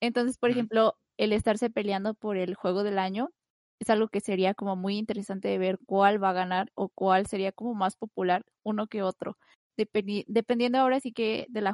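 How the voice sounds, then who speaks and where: Against a quiet background, a woman speaks fairly quickly in a monotone, flat intonation at a medium pitch, with a dry, close sound and no echo. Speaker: guest. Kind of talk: casual chat.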